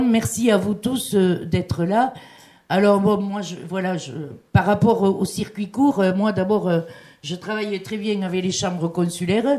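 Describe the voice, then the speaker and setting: A woman talks fairly slowly, her medium pitch varying in an ordinary way. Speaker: business chamber president. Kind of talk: panel speech. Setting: seminar hall with microphone. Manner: hesitant, many fillers.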